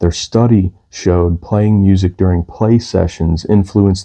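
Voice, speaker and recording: A man speaks with a very deep, low pitch and a dark, mellow tone. His intonation is monotone and flat against a quiet background. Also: dry, close sound with no echo. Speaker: music channel host, parent. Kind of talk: informal explainer monologue. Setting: at home downstairs. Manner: quiet, low energy.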